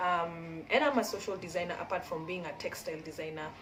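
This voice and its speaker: In a room with audible echo and noticeable background noise, a woman speaks at a moderate pace with a medium pitch. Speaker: community founder and textile designer. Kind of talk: casual vlog chat. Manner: rambling, halting with many fillers.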